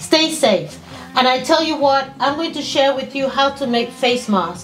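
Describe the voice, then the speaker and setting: Faint music sits in the background as a woman speaks at a high pitch. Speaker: vlogger. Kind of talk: casual vlog chat. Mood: earnest, pleading, warm. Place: home room.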